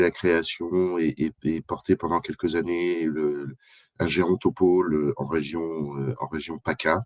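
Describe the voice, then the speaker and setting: Very slow and very deep, a man's low voice holds fairly even intonation in a dry, close sound with no echo. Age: 60s. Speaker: association development manager, speaker. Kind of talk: expert presentation. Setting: live video conference. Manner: halting, many fillers.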